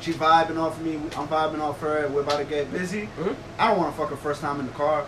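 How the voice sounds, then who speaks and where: A man with a fairly high voice talks at a very fast pace over noticeable background noise. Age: 20s. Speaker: podcast co-host. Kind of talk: casual chat.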